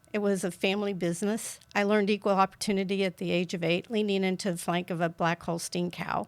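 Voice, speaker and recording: A woman with a rural Kansas accent, very fast and with hardly any pauses, monotone and flat in intonation. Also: medium pitch for a woman. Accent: Midwestern American, rural Kansas. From US Midwest, rural southeast Kansas. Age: 70s. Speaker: political candidate. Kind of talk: interview.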